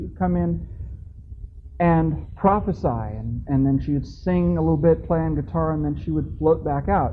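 Light background noise beneath a man's moderate pace. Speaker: conference speaker. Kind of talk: lecture with personal anecdote. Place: hall.

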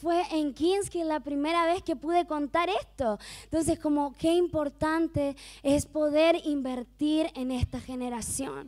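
Animated tone at a fairly slow pace, in a very clean recording with a silent background. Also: woman, high pitch for a woman, ordinary pitch variation. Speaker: mission worker. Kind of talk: testimony.

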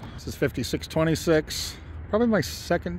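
With very wide pitch swings, a man speaks at a moderate pace in a dry sound with no echo and light background noise. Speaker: pigeon fancier. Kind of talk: casual talk to camera. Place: open country. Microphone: phone near.

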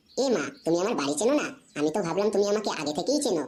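Using a cartoonish character voice, a woman rattles along at a very fast pace at medium pitch. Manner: coy, sweet, teasing.

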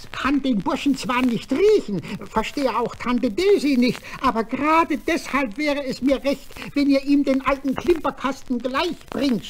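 A female-sounding voice puts on a character at a high pitch and a moderate pace. Background noise is clearly audible. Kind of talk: children's radio play acting. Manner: cheerful, praising, a bit pompous.

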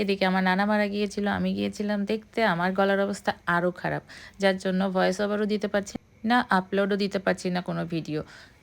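This very clean recording has a silent background. A woman speaks in a monotone, flat intonation. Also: medium pitch for a woman. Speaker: cooking vlogger. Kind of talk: recipe voice-over tutorial. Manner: casual conversational.

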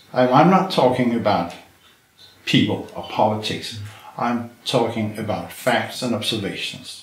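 Over noticeable background noise, a man with lively intonation and a medium pitch leaves long, frequent pauses. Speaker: retired chemistry professor. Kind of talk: interview. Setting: filmed interview.

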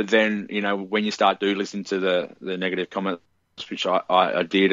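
The speech is monotone and flat, delivered with an Australian accent. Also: man. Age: 20s. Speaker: musician. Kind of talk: casual chat.

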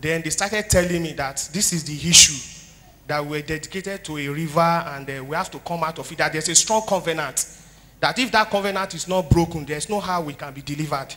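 With a bright, sharp tone, a man speaks at a fairly quick pace in a high pitch, showing ordinary pitch variation. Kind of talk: testimony. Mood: earnest, somber story. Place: church. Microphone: handheld.

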